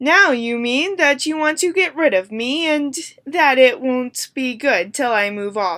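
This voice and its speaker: A woman uses a put-on character voice pitched high. She delivers it at a fairly slow pace. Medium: read story.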